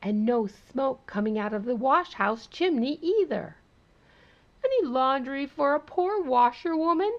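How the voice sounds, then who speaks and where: A woman uses a put-on character voice, pitched high and delivered at a moderate pace. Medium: read story. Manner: sing-song, perky.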